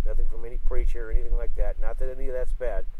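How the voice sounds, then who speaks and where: Speaking very fast with an American accent, a man uses an extremely high pitch. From Northern California. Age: 60s. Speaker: outdoor school teacher. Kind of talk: reflective talk. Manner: halting with self-corrections.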